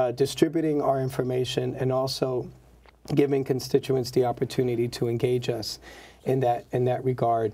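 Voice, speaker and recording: A man with an American accent speaks at a moderate pace in a medium-pitched, somewhat breathy voice with flat, monotone intonation. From South Bronx, New York. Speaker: state senator. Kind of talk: interview. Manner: formal, measured, with fillers.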